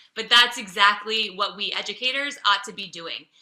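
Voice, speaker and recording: A woman with an American accent speaks in a normal speaking voice at a fairly high pitch and a fairly quick pace. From Los Angeles, US. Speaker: teacher educator. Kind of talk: webinar presentation.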